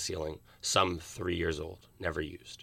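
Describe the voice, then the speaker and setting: In an American accent, a man talks with a bright, sharp tone. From Philadelphia, US. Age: young. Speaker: student startup founder. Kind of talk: interview.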